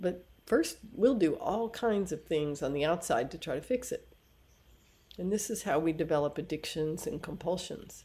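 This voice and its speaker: A woman's fairly low, dark and mellow voice with lively intonation at a moderate pace. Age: 60s. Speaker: yoga and Ayurveda teacher. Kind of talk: podcast monologue.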